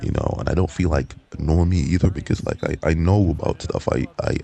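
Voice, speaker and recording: Over noticeable background noise, a man talks at a moderate pace. His intonation stays fairly even. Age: 20s. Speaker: vlogger. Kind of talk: personal monologue vlog. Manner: halting, many fillers and repeats.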